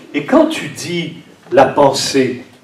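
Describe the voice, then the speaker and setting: A man talks with ordinary pitch variation. Noticeable background noise and audible room echo surround his voice. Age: 60s. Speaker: priest. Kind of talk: sermon.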